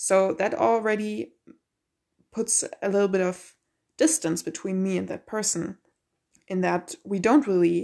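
This woman speaks at a medium pitch and a moderate pace, with a non-native accent and lively intonation. The recording is very clean, with a silent background. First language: not English. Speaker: podcast host, college student and musician. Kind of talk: solo monologue podcast. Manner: casual with many fillers and restarts.

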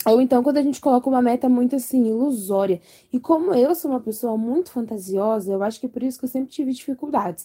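A woman talks very fast at a high pitch, with hardly any pauses and ordinary pitch variation. Her tone is dark and mellow, with a dry, close sound and no echo. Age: 20s. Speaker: podcast co-host. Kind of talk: casual chat.

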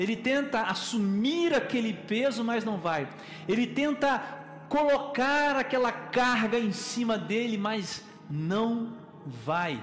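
A man's extremely high-pitched, very slow, lively-intoned speech, with audible room echo and noticeable background noise. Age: 30s. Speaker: preacher. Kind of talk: sermon.

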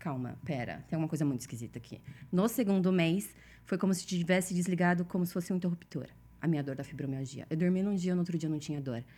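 This woman's voice has a dark, mellow tone and a fairly low pitch. She speaks fairly quickly with lively intonation. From Brazil. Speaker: consciousness facilitator. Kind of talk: casual chat.

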